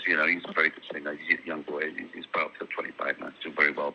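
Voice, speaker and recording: A man with a slight Welsh accent speaks over noticeable background noise. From South Wales, Swansea. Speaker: singer. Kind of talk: interview. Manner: halting.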